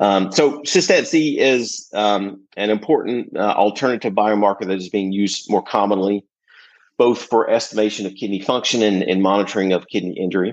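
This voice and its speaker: A man with an American accent talks at a moderate pace in a fairly low voice. His pitch varies in an ordinary way against a quiet background. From US South, rural southwestern Virginia. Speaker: critical care pharmacist and professor. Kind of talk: interview, technical explanation. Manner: halting, many fillers.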